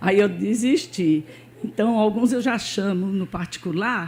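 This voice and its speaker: At a fairly slow pace, a woman talks in a dark, mellow, somewhat breathy voice. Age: 70s. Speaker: church member. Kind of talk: testimony. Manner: informal, with frequent fillers.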